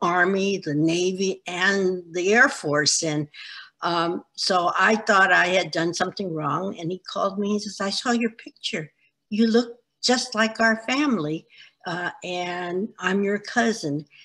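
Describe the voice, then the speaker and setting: With a bright, sharp tone and ordinary pitch variation, a woman speaks at a fairly slow pace against a quiet background. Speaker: interviewee. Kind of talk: interview answer. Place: home room. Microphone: video call.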